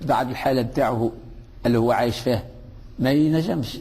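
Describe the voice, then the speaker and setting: A man speaks at a fairly quick pace with a Tunisian accent. Audible room echo surrounds his voice. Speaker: religious teacher. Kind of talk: religious lesson. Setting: mosque. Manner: conversational, with fillers and hesitations.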